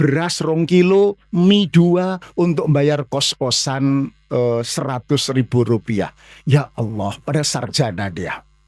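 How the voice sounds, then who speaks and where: Recorded dry and close with no echo, a man with a fairly high voice speaks very slowly using lively intonation. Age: 60s. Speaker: Islamic preacher. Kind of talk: mosque sermon lecture. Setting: mosque.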